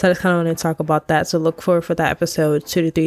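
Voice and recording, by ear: With an American accent, a nasal voice with vocal fry speaks with little pitch movement. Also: woman.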